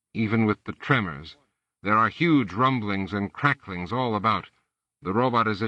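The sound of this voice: An unforced reading voice, with quiet all around it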